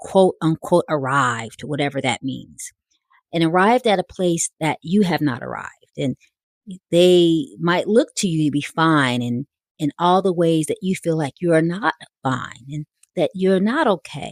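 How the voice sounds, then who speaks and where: In a dry, close recording with no echo, a woman with an American accent and an unremarkable speaking voice talks at a fairly slow pace, her fairly low pitch carried by lively intonation. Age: 60s. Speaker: podcast host, life coach and minister. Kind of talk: personal reflective talk.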